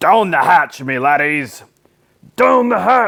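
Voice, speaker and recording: Using a put-on character voice, a man speaks at a fairly high pitch and a fairly slow pace with very wide pitch swings. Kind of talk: children's book read aloud. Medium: read story. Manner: loud, bellowing.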